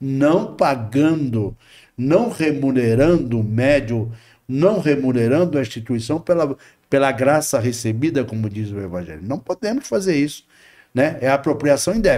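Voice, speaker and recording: A man's fairly high voice with a dark, mellow tone, lively intonation and a fairly slow pace. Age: 60s. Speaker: spiritist medium and volunteer. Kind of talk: podcast interview.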